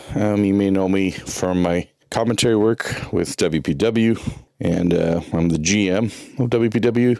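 A man speaks in a plain, everyday voice, fairly low in pitch and at a fairly slow pace. His pitch varies ordinarily, and his loudness stays very even. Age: 40s. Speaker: wrestling commentator. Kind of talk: casual show report.

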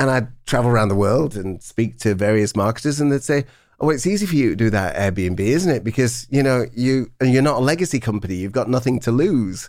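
Over a silent background on a very clean recording, a man with a British accent talks at a fairly quick pace. His pitch is medium, his intonation lively, and his loudness very even. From England. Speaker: brand consultancy CEO, former marketing chief. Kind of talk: interview. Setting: studio.

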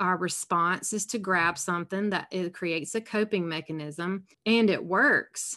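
In a Southern US accent, a woman speaks fairly slowly at a medium pitch with ordinary pitch variation over a quiet background. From South Carolina, US South. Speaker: alcohol-free coach and podcast host. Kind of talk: casual interview.

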